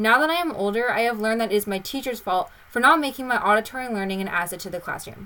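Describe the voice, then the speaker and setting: Her pitch is fairly high, and this woman's tone is bright and sharp with lively intonation. She talks at a very fast pace with hardly any pauses. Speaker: podcast host. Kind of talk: scripted student podcast.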